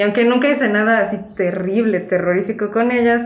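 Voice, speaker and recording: In a room with audible echo, a woman talks at a fairly slow pace with ordinary pitch variation. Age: 20s. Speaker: co-host sharing personal testimony. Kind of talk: testimony.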